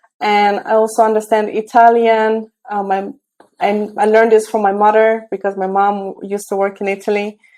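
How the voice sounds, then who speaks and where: A woman speaks with a Romanian accent in a fairly high pitch. Her tone is dark and mellow, and her intonation stays flat and monotone. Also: moderate pace. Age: 30s. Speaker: tech entrepreneur and mentor. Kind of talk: interview. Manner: hesitant, many fillers.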